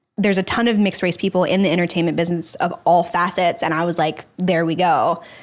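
On a very clean recording with a silent background, a woman with an American accent has an ordinary speaking voice, a fairly low pitch and fairly even intonation. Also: very even loudness. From Texas, Dallas. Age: 20s. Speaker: actress and podcast host. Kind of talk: casual interview chat.

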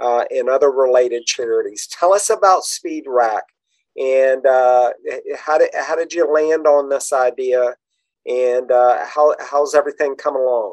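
Here is a man with an unremarkable speaking voice. It sits at a fairly high pitch with ordinary pitch variation. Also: fairly slow pace. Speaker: podcast host. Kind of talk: casual interview chat.

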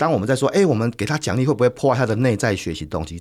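The recording is very clean, with a silent background. A man speaks with vocal fry. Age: 50s. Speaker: corporate trainer and author. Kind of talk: interview. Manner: hearty laugh.

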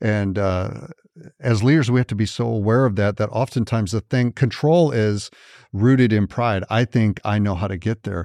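A man with an American accent speaks at a moderate pace in a fairly low voice with a dark, mellow tone and ordinary pitch variation. The sound is dry and close with no echo, over a quiet background. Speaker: pastor. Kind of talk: casual panel discussion on church leadership.

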